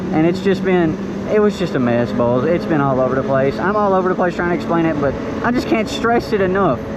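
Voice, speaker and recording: A man with an American accent and a high pitch for a man, very fast pace, lively intonation, very even loudness, noticeable background noise and audible room echo. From rural Kentucky. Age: 20s. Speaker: motovlogger. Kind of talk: tutorial. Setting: outdoors in the woods, riding dirt bike. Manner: casual, animated.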